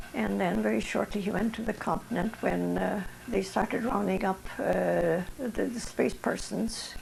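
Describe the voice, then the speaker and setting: Noticeable background noise sits behind this recording. A woman speaks over it at a fairly slow pace. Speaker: Ukrainian Canadian wartime servicewoman and association member. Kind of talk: oral history interview answer.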